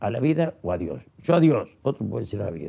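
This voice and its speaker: With a dark, mellow tone and vocal fry, a man talks at a moderate pace while his pitch swings very widely. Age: 80s+. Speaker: former politician and writer. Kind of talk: interview. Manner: halting.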